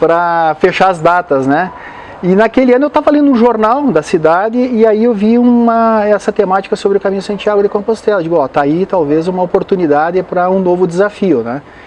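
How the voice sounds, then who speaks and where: A man speaks in a high voice with lively intonation. Noticeable background noise runs underneath. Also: fairly quick pace. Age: 60s. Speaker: motivational speaker and pilgrim. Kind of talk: interview. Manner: hesitant, with frequent fillers.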